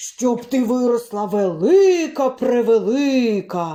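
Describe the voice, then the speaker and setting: In a put-on character voice, the speaker talks at a fairly high pitch and a very slow pace. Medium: read story.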